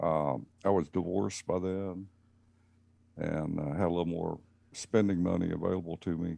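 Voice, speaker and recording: A man with a Southern US accent speaks in a very deep, low voice with a dark, mellow tone, leaving long, frequent pauses. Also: ordinary pitch variation, moderate pace. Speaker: racing team owner, electrical engineer. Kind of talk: casual interview.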